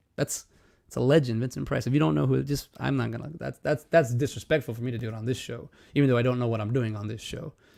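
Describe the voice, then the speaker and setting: This man has a dark, mellow tone at a medium pitch. He talks at a very fast pace with lively intonation. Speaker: livestream host. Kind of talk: casual livestream talk. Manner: halting, many fillers and restarts.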